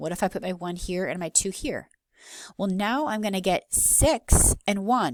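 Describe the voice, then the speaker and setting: In a normal speaking voice, a woman talks at a moderate pace and medium pitch with lively intonation, the recording very clean over a silent background and the sound dry and close with no echo. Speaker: math teacher. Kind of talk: lecture.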